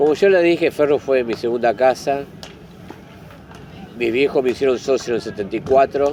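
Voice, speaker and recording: Amid noticeable background noise, a man with a medium pitch and ordinary pitch variation talks at a moderate pace, with long, frequent pauses. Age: 60s. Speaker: football club historian and fan. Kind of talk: interview. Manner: halting.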